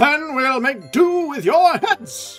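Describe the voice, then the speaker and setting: A man bellows in a put-on character voice. Faint music plays in the background. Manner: angry, threatening.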